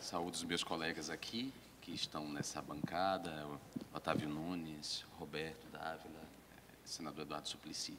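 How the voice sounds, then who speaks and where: Fairly quick and fairly even in intonation, a man speaks with a very deep, low pitch. Audible room echo and noticeable background noise fill the recording. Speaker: politician. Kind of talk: conference talk. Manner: formal.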